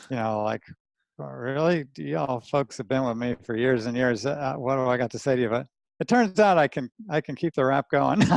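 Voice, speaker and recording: A man at a medium pitch with a New Jersey accent, with a fairly quick pace and lively intonation, in a dry, close sound with no echo. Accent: New Jersey American. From New Jersey, US. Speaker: anatomist and dissection teacher. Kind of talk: podcast interview. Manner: casual, rough-spoken.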